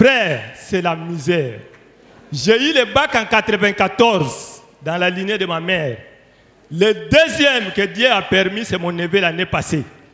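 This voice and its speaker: Against noticeable background noise, a man uses a raised, projected voice, high in pitch, with very wide pitch swings at a very slow pace. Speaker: church member giving testimony. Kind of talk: testimony. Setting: church.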